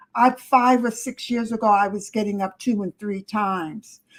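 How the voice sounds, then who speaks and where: A somewhat breathy woman at a fairly high pitch, with ordinary pitch variation and a moderate pace. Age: 70s. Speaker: relative giving health advice. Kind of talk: casual chat. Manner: emphatic.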